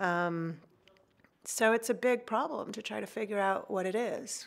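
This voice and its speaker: In a plain, everyday voice, a woman speaks fairly slowly at a fairly high pitch with ordinary pitch variation, on a very clean recording with a silent background. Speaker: astrophysicist. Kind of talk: science explainer narration. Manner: casual, conversational with fillers.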